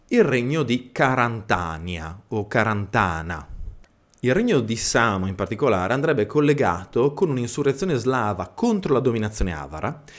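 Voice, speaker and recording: A man's medium-pitched voice with a Friulian accent, very wide pitch swings and a moderate pace. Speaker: history channel host, living history presenter. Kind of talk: educational history talk. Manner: hesitant with fillers and self-corrections.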